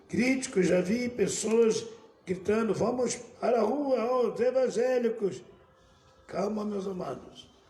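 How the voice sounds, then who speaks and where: In a room with audible echo and noticeable background noise, a man talks at a very slow pace, his high pitch showing ordinary variation. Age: 70s. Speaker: bishop. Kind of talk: sermon.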